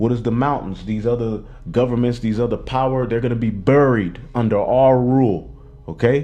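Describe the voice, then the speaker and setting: Heard with audible room echo, a man at medium pitch talks in a dark, mellow tone with fairly even intonation. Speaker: religious teacher. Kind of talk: bible class teaching. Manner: fast.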